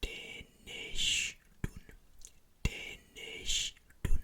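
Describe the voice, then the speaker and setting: The speaker whispers in a calm tone. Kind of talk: ASMR trigger words. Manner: whispered, soft-spoken; slow, calm, repetitive.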